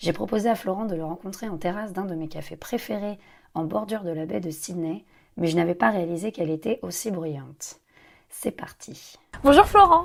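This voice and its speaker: A plain, everyday voice from a woman with fairly low pitch, lively intonation, big swings in loudness, and a moderate pace. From Paris, France. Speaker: podcast host. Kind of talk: scripted intro then interview. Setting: outdoor café terrace.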